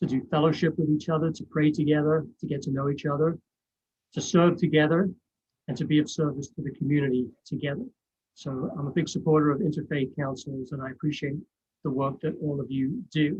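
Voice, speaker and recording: Intonation stays fairly even throughout. The delivery is fairly quick and somewhat breathy. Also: man, fairly high pitch for a man. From England, East End of London. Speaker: college English professor. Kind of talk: presentation. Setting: video call.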